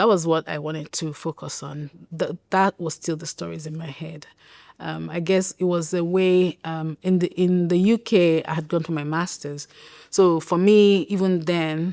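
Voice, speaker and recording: With a Nigerian accent, a woman speaks at a moderate pace in a fairly low pitch with a dark, mellow tone, fairly even intonation and big swings in loudness, the sound dry and close with no echo. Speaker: writer and public health professional. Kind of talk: interview answer.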